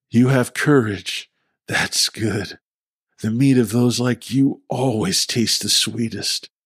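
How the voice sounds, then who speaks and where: Putting on a character voice, a man speaks at a fairly slow pace with a medium pitch and fairly even intonation. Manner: growling, threatening.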